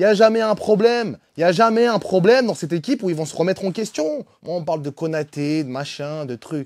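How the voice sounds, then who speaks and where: This man talks at a fairly quick pace with hardly any pauses, his pitch high and his intonation lively. The recording is very clean, with a silent background. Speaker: football fan channel host. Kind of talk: match debrief rant. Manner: animated.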